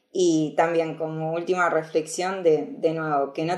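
Fairly slow in pace, the voice has a dark, mellow tone. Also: woman. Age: 20s. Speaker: security researcher. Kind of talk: casual interview.

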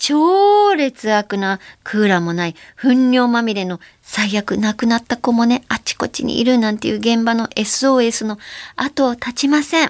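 This is an unremarkable speaking voice with lively intonation. It moves at a fairly slow pace in a dry, close recording with no echo. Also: woman, fairly high pitch for a woman. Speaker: radio host, actress and voice actor. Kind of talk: casual solo podcast monologue. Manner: relaxed, chatty.

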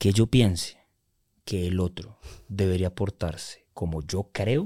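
The voice is dark and mellow, somewhat breathy, with fairly even intonation and a very slow pace. The recording is very clean with a silent background and a dry, close sound with no echo. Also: man. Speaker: life coach. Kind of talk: interview.

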